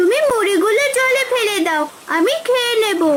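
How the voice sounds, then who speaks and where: A cartoonish character voice with an extremely high pitch moves at a moderate pace over loud background noise. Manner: warm, friendly.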